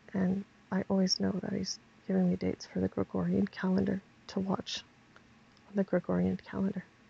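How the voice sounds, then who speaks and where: Quiet and at a fairly quick pace, a woman speaks with long, frequent pauses in a dry, close sound with no echo. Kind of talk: religious vlog monologue.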